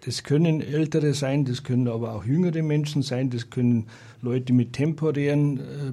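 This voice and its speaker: Somewhat breathy and dark, mellow in tone, a man speaks at medium pitch and a moderate pace with fairly even intonation. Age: 60s. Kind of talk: radio interview. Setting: radio studio.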